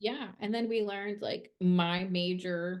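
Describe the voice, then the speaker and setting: A woman speaks in a strong Minnesotan accent at a medium pitch. She goes at a very slow pace with fairly even intonation. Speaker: podcast co-host, PR worker in music. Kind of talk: casual chat.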